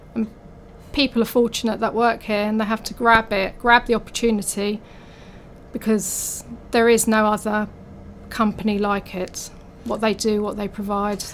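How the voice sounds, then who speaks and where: In a London accent, the speaker moves at a moderate pace with monotone, flat intonation and long, frequent pauses. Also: woman, fairly high pitch for a woman. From North London. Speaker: office catering manager. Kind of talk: casual interview.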